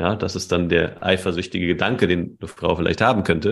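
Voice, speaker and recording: A man talking at a very fast pace. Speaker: dating coach and podcast host. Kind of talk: casual interview chat.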